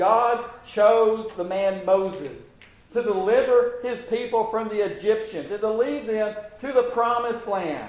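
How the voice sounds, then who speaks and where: High-pitched man at a fairly slow pace, fairly even intonation, noticeable background noise, and audible room echo. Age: 60s. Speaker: preacher. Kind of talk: sermon. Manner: halting, repeats words.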